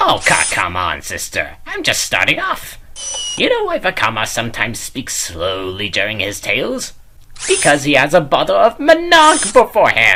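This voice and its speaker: A put-on character voice comes through at a moderate pace over light background noise. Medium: audio drama. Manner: jokey, loose.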